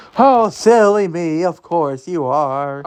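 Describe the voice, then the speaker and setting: Using a put-on character voice, a man speaks high and fairly slowly. His intonation is lively. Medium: read story. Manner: sugary, fake.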